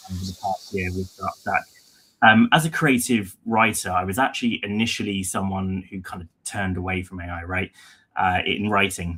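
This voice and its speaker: A man speaks with a British accent. His pitch sits fairly low. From London, England. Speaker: head of content, writer. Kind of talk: webinar presentation.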